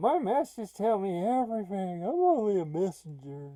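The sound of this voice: A put-on character voice from a man, pitched high. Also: moderate pace, lively intonation.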